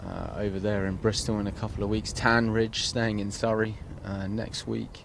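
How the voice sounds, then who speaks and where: With audible room echo, a man with an English accent speaks in a fairly low, monotone, flat voice. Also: moderate pace. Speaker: golf commentator and tour player. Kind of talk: live commentary. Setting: outdoors by the golf course. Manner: soft-spoken at times.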